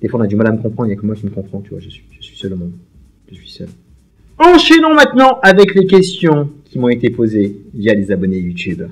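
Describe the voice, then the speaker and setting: The voice is energetic and somewhat breathy, with very wide pitch swings. It moves at a very fast pace. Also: man. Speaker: YouTuber, film and series fan. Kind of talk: casual Q&A monologue. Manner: very fast speech; energetic, voluble.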